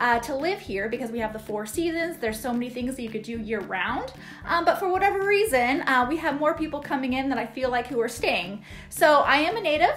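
With faint music in the background, a woman talks at a fairly quick pace in a high pitch. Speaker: real estate agent vlogger. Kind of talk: casual vlog chat. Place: home room. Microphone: phone near.

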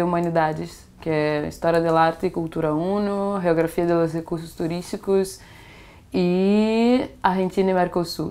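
A woman speaking at a moderate pace. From Brazil, Itaboraí, Rio de Janeiro state; Rio de Janeiro state, Brazil. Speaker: exchange student. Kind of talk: interview. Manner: halting, code-switching Portuguese and Spanish. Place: home room.

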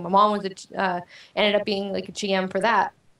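There is audible room echo around this woman's voice. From Panama. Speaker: gamer, guest; guest. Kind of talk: interview. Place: home room. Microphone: video call.

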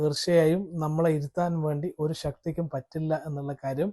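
A man with a Kannada accent and a high pitch, a dark, mellow tone, fairly even intonation, and a dry, close sound with no echo. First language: Kannada (speaking Malayalam). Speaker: trainer and YouTuber. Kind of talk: vlog monologue. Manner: halting.

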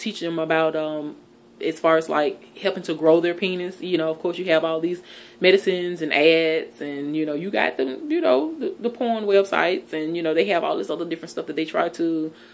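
A woman in a normal speaking voice, fairly low in pitch, with fairly even intonation at a moderate pace. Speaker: relationship advice vlogger. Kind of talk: casual vlog chat. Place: home room. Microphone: phone near.

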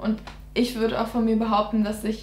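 Speech at a fairly quick pace carries audible room echo. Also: woman. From Germany, near Giessen (Hesse); Hesse, Germany. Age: 20s. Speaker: dentistry student; interviewee. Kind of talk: casual interview. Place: home room.

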